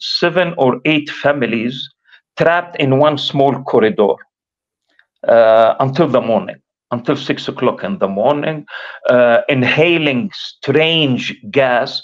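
A man with an Arabic accent, fairly high in pitch, at a very slow pace with ordinary pitch variation, against a quiet background. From Gaza, Palestine; Palestine. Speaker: professor and activist; professor. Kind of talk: interview testimony. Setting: remote livestream link. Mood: grave, recounting wartime escape. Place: home room. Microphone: video call.

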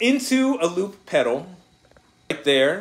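A man's slow, lively-intoned speech with a fairly bright tone

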